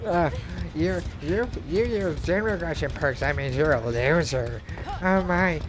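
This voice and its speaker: Loud background noise surrounds a man doing a put-on character voice. His pitch is fairly high and his pace fairly slow. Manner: mocking, nerdy.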